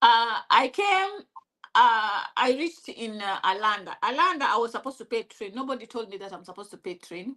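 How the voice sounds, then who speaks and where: Speaking with a Kenyan accent, a woman uses a fairly high pitch and lively intonation at a fairly quick pace. Her loudness swings widely. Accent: Kikuyu-accented English. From Kenya (Kikuyu). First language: Kikuyu. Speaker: interviewee sharing life story. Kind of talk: interview. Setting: live stream. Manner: halting.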